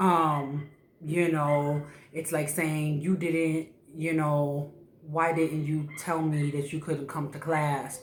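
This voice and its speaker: Very slow speech over noticeable background noise. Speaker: YouTuber learning Spanish. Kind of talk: casual vlog monologue. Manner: casual, many fillers and repetitions.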